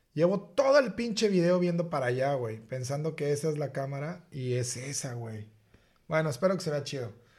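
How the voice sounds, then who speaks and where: At a moderate pace, the somewhat breathy voice carries lively intonation. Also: man, fairly high pitch for a man. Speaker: podcast co-host. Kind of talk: casual chat.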